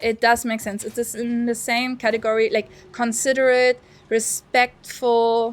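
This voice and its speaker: At a fairly slow pace, a woman with a non-native accent speaks in a fairly high, flat, monotone voice. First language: not English. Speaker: streamer. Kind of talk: casual chat.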